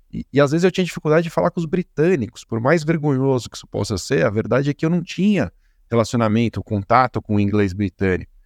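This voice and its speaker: A man talks very fast at medium pitch, with very wide pitch swings. The sound is dry and close with no echo, and the background is quiet. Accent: Brazilian. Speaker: podcast host, compliance educator. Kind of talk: interview podcast. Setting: live stream with chat.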